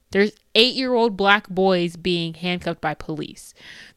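Speaking at a moderate pace in an American accent, a woman shows ordinary pitch variation on a very clean recording with a silent background. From United States. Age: 20s. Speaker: solo podcaster. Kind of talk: casual solo monologue. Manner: talkative and repetitive.

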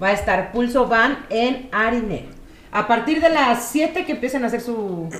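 A woman speaks at a moderate pace in a high voice with lively intonation, with audible room echo and noticeable background noise. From Mexico, Querétaro. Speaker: podcast co-host. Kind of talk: casual chat, telling jokes.

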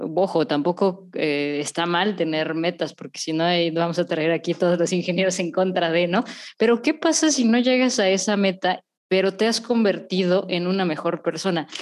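This woman has an unremarkable speaking voice at medium pitch. She keeps a moderate pace with ordinary pitch variation. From Mexico. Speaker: podcast host, therapist. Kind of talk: casual chat.

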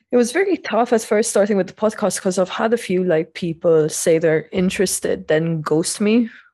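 A woman's voice at medium pitch with ordinary pitch variation, very even loudness, a moderate pace and a dark, mellow tone, over a quiet background. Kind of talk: casual chat.

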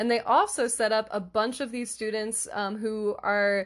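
Against a quiet background, a woman with a normal speaking voice talks at a fairly slow pace and a fairly high pitch. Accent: American. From US Northeast, Philadelphia area. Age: 20s. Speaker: podcast host, English tutor. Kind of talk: solo podcast monologue. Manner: warm, casual, frequent laughter.

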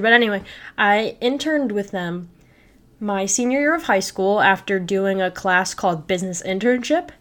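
A woman with an American accent and an ordinary speaking voice talks at medium pitch and a moderate pace in a very clean recording with a silent background. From Illinois, Chicago suburbs. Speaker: student podcast host. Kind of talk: solo podcast monologue. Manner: casual, filler-heavy.

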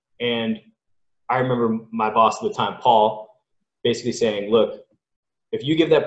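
A man with a Californian accent at a fairly quick pace. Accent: General American (Californian). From Southern California, Los Angeles. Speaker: college sports scientist. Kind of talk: casual interview.

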